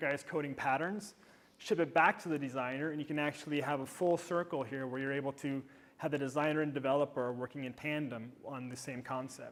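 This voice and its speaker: Speaking at a fairly quick pace, a man with an American accent keeps a fairly even intonation at a fairly high pitch. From United States. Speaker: developer advocate. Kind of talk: conference talk with live demo. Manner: fast.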